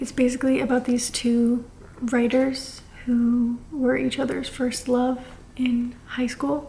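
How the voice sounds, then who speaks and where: A soft-spoken woman talks very slowly in a high pitch, with monotone, flat intonation. Audible room echo and noticeable background noise fill the recording. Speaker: book vlogger. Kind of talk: casual vlog. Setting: at her grandparents' house. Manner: quiet, soft-spoken.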